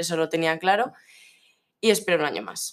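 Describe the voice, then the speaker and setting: At a moderate pace with ordinary pitch variation, the voice comes through in a very clean recording with a silent background. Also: woman. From Navarre, Spain (La Ribera area). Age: young. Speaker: student. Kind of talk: interview. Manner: halting, many fillers and repeated words.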